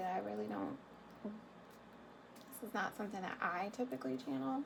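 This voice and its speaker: Against noticeable background noise, a woman talks at a moderate pace with very wide pitch swings. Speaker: tarot reader. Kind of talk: tarot reading monologue. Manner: hesitant, many fillers. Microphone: quiet recording.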